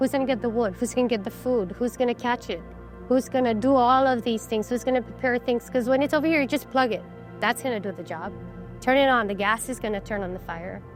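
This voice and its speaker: There's music in the background as a woman speaks at a very fast pace. Her pitch is fairly high, with ordinary variation. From Chamorro, Saipan, Northern Mariana Islands. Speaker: artist, carver and cultural advocate. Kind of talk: interview answer, reflective storytelling. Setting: recorded interview.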